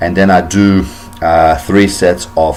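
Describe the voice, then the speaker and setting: A man's fairly even intonation is heard with music in the background. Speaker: fitness vlogger. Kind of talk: tutorial. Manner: many fillers and repetitions.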